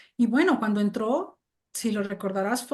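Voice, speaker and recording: The speaker is a woman. Ordinary pitch variation marks her delivery. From Mexico. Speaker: English teacher and translator. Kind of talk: interview conversation. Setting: video call.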